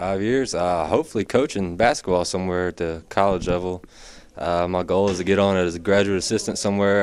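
Very deep and low in pitch, a man talks at a very fast pace with fairly even intonation. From Franklin, Tennessee; Tennessee. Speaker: college basketball walk-on player. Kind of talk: sit-down interview. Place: stadium.

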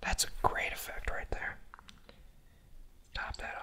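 The voice is soft-spoken, whispering throughout. Noticeable background noise runs underneath. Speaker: bartender video host. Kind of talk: casual tutorial chat. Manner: soft ASMR whisper. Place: bar.

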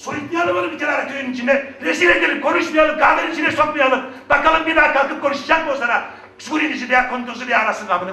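With noticeable background noise, a man shouts in a raised, projected voice at an extremely high pitch and a very fast pace. His tone is animated and angry, with ordinary pitch variation. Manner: animated, loud, angry.

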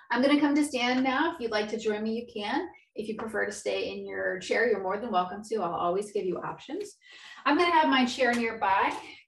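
A woman's calm, gentle tone at a fairly high pitch, with vocal fry, lively intonation and audible room echo. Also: fairly quick pace. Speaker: yoga instructor. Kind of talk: live guided chair-yoga class, cueing breath and movement step by step; guided exercise instruction. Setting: video call. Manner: calm, encouraging instructor voice with rhythmic inhale/exhale cues; gentle and reassuring, repeatedly offering options and saying good. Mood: calm, encouraging. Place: home room. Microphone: webcam.

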